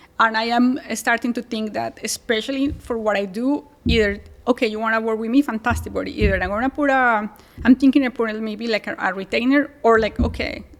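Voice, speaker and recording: In a strong Colombian accent, a woman speaks at a fairly high pitch with fairly even intonation. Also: fairly quick pace. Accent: thick Colombian Spanish. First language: Spanish. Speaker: real estate agent, co-living specialist. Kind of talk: podcast interview. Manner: fast.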